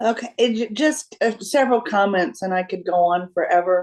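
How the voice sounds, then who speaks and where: A woman's medium-pitched voice at a moderate pace, a plain, everyday voice, against a quiet background. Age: 60s. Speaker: retired educator. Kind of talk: group discussion.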